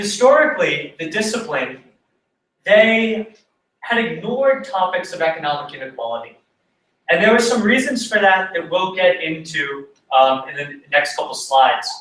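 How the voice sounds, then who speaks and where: A man's high-pitched voice moves at a moderate pace through very wide pitch swings, with audible room echo. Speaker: conference presenter. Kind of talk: academic presentation. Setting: conference talk.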